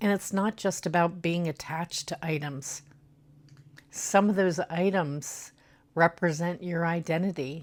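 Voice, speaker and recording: A fairly low-pitched woman at a fairly slow pace, on a very clean recording with a silent background. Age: 50s. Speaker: lifestyle vlogger. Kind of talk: casual talk to camera. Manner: hesitant, many fillers.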